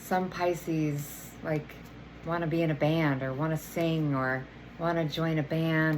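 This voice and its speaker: In a room with audible echo, a woman speaks very slowly in a very deep, low voice. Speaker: energy healer and oracle card reader. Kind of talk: tarot oracle reading. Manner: casual, filler-heavy.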